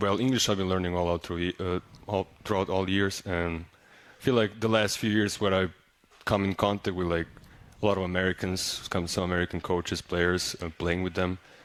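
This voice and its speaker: A man's very deep, low voice with a Serbian accent, fairly quick and monotone with flat intonation. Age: young. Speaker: college basketball player. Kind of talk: radio interview. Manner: halting.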